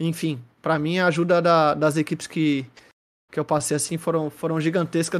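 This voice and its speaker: The recording is very clean, with a silent background, and a man talks at a moderate pace in a normal speaking voice. His pitch sits fairly high and his intonation stays fairly even. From Santos, São Paulo coast, Brazil. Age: 30s. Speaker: esports commentator and host. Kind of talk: casual chat. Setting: live-streamed podcast call.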